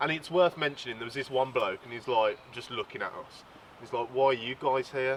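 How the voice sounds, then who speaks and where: With a British accent, the speaker goes at a fairly quick pace, keeping fairly even intonation amid big swings in loudness. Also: man, medium pitch for a man. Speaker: fishing channel host. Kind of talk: casual podcast chat.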